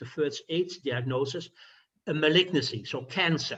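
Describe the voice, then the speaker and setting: A man with a slight Dutch accent and fairly even intonation. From Netherlands. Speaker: physician. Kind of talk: lecture. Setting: video call. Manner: halting, with fillers.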